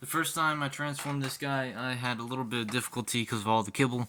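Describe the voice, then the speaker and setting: Speaking at a fairly quick pace, a man uses a medium pitch with a bright, sharp tone and fairly even intonation. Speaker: toy reviewer. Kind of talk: product review and tutorial. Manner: casual, halting with fillers.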